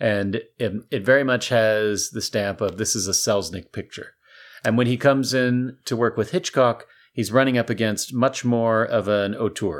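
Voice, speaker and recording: Heard on a very clean recording with a silent background, a plain, everyday voice moves with ordinary pitch variation. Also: man, medium pitch for a man, moderate pace. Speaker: podcast co-host. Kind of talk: casual chat. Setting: studio.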